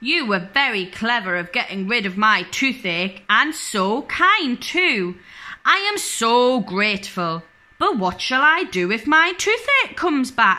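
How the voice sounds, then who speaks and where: At a fairly slow pace, a woman does a put-on character voice at a fairly high pitch with very wide pitch swings, on a very clean recording with a silent background. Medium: read story.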